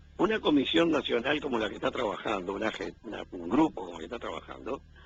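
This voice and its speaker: With vocal fry and a medium pitch, a man talks at a fairly quick pace, his pitch swinging very widely and his loudness in big swings. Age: 70s. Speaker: weekly radio columnist. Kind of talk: radio commentary interview.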